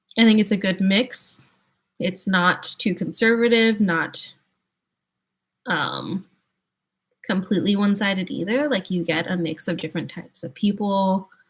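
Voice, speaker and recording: At a moderate pace with long, frequent pauses, a woman speaks in a relaxed, calm tone, her medium-pitched, somewhat breathy voice showing ordinary pitch variation. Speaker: streamer, sign language song cover creator. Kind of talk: casual chat.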